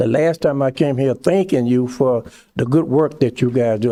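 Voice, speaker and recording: A man talks at a moderate pace in a medium-pitched voice with a dark, mellow tone. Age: 80s+. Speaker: public commenter, community volunteer. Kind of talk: public comment at government meeting. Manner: halting.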